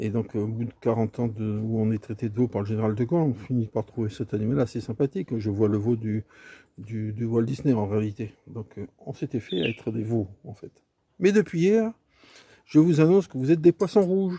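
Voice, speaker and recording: With lively intonation and big swings in loudness, a man speaks in a dark, mellow, somewhat breathy tone. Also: medium pitch for a man, moderate pace, dry, close sound with no echo. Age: 60s. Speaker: video commentator. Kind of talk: casual monologue commentary. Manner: hesitant, many fillers.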